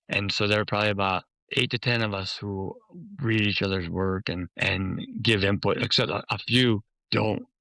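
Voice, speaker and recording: A man with a Chicago accent has a bright, sharp tone and fairly even intonation. The sound is dry and close, with no echo. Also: fairly low pitch for a man, moderate pace, very clean recording, silent background. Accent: Chicago American. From US Midwest, Chicago. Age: 70s. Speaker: memoir author. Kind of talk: interview conversation.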